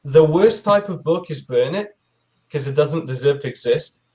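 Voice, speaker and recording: His pitch sits fairly high. The man talks in a non-native accent. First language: not English. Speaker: book reviewer on a panel. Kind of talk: casual chat. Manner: halting.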